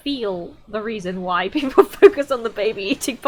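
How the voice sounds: The natural reading voice moves with lively intonation.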